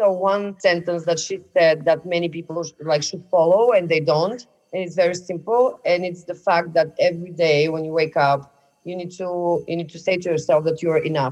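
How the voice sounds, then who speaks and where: A woman talks at a moderate pace in a Bulgarian accent. Her pitch is fairly low, and her intonation fairly even. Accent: Eastern European, Bulgarian. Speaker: podcast guest.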